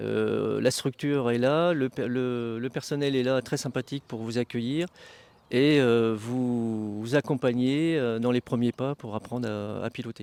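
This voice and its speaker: On a very clean recording with a silent background, a man speaks in a normal speaking voice. His pitch is medium and his pace fairly slow. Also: dry, close sound with no echo. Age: 60s. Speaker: flying club vice-president. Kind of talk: interview.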